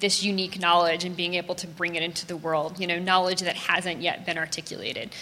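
This is a woman with an American accent. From US South, New Orleans. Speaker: designer and artist. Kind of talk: interview before a live audience. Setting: stage with live audience.

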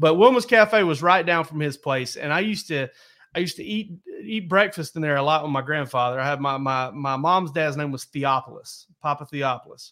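A man with a Southern US accent speaks at a fairly quick pace in a fairly high pitch, his bright, sharp tone and lively intonation captured in a very clean recording with a silent background. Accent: Southern US (Georgia). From US South (south Georgia). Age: 40s. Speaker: sports podcast host. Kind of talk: casual chat.

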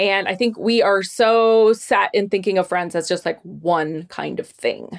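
A woman's plain, everyday voice at a medium pitch, fairly slow and fairly even in intonation, with hardly any pauses, on a very clean recording with a silent background. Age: 40s. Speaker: friendship expert. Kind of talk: interview.

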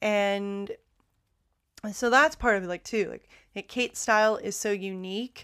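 Recorded very cleanly against a silent background, a woman with an American accent speaks at a fairly slow pace in a fairly high, bright, sharp and animated voice. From United States. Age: young. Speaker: podcast host. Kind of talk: casual monologue.

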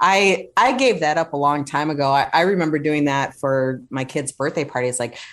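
A woman's very deep, low-pitched voice at a moderate pace, with ordinary pitch variation and hardly any pauses. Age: 50s. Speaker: psychotherapist. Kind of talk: casual interview.

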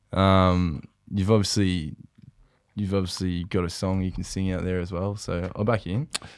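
On a very clean recording with a silent background, a man with a very deep, low pitch speaks at a moderate pace with fairly even intonation. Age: 20s. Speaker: footballer and podcast co-host. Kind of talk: casual chat. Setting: studio.

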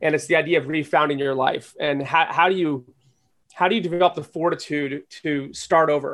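A man speaks in a normal speaking voice with fairly high pitch. His pace is fairly quick and his intonation fairly even. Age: 40s. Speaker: entrepreneur and angel investor. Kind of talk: interview.

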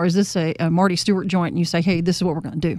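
A woman with a Mississippi accent, medium-pitched, at a very fast pace. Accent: Southern US, Mississippi. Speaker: radio interviewer. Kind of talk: interview.

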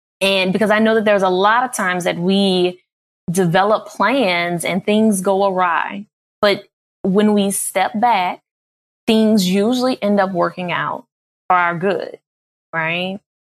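Woman at medium pitch, fairly slow pace, fairly even intonation, with long, frequent pauses. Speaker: psychologist leading a guided visualization.

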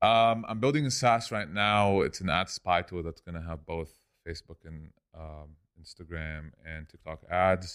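With big swings in loudness, a man speaks at a very deep, low pitch. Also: ordinary pitch variation, moderate pace, very clean recording, silent background. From Lebanon. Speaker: e-commerce entrepreneur. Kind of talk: casual podcast interview. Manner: casual, conversational.

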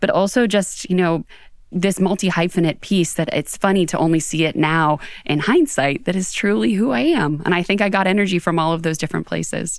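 A woman talks at a fairly quick pace with an American accent, in a plain, everyday voice that sits fairly low and shows ordinary pitch variation. The recording is very clean, with a silent background. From Western Pennsylvania, outside Pittsburgh. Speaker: HR executive and author. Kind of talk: interview. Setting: studio.

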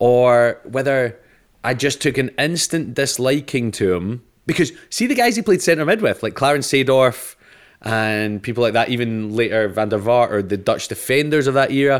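With a Scottish accent, a man talks at a moderate pace and medium pitch, with ordinary pitch variation, on a very clean recording with a silent background. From Scotland. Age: 30s. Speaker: comedian. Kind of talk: casual chat.

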